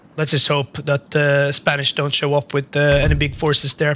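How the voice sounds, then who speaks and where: Fairly high-pitched male speech against noticeable background noise. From Sweden. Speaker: gaming YouTuber. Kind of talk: casual gameplay commentary. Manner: loud; halting, many fillers.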